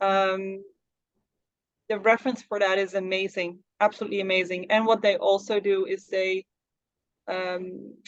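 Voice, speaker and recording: A woman with a Dutch accent speaks at a moderate pace in a medium pitch, her intonation monotone and flat, broken by long, frequent pauses. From Netherlands. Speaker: psychic medium and spiritual mentor. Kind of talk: interview. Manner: halting.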